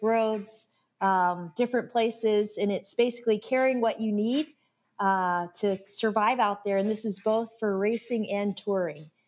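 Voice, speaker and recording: In an ordinary speaking voice, a woman with an American accent speaks fairly high at a moderate pace with ordinary pitch variation, on a very clean recording with a silent background. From Alaska. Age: 30s. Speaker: ultra-endurance cyclist. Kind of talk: interview, casual storytelling.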